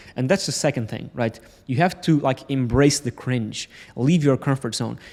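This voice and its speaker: This man talks at a very fast pace in a fairly high voice with ordinary pitch variation and a Portuguese accent. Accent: Portuguese accent, non-native English. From Portugal. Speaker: entrepreneur vlogger. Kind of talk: motivational vlog talk to camera. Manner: halting, stumbles over words.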